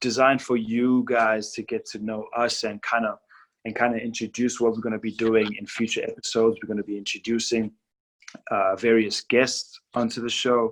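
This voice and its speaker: On a very clean recording with a silent background, a speaker with a non-native accent talks at a moderate pace in a monotone, flat intonation. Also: man, medium pitch for a man. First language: not English. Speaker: podcast host. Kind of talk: casual interview.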